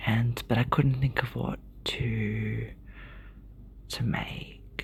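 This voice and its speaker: A woman with an Australian accent at a very slow pace. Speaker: ASMR creator. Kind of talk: ASMR book show-and-tell. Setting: hotel room. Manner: soft-spoken.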